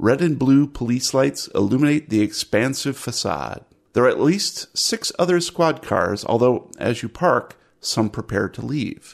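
The background is quiet as a man speaks at medium pitch and a fairly slow pace. His intonation is lively, with vocal fry. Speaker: tabletop role-playing game master. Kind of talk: actual-play game narration. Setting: online session. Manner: animated.

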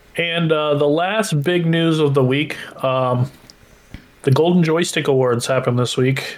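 This man's intonation stays fairly even while noticeable background noise runs underneath. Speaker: podcast co-host. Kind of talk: casual chat.

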